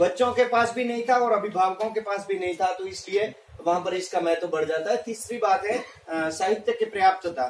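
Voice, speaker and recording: A man with a Rajasthani accent, a high pitch and ordinary pitch variation, at a moderate pace with hardly any pauses, over noticeable background noise. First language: Marwari (speaking Hindi). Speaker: teacher. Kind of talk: presentation. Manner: halting, many fillers.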